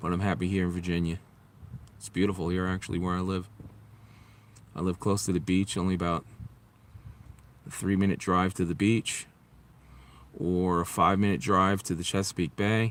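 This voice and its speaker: With a New York accent, a man talks at a fairly quick pace yet leaves long, frequent pauses. His very deep, low voice keeps fairly even intonation. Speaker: vlogger. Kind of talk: casual live stream chat. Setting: outdoors near highway.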